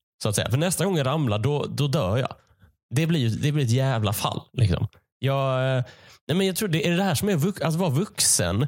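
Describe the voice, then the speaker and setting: A man's fairly high, somewhat breathy voice at a moderate pace, with very wide pitch swings and very even loudness, in a very clean recording with a silent background. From Sweden, Malmö/Skåne. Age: 20s. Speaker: comedian. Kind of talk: casual solo monologue. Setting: home basement. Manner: halting.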